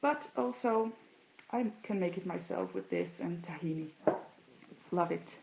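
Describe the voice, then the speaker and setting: A woman with a Dutch accent, speaking fairly slowly with long, frequent pauses. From Netherlands. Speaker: vlogger. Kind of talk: casual show-and-tell vlog.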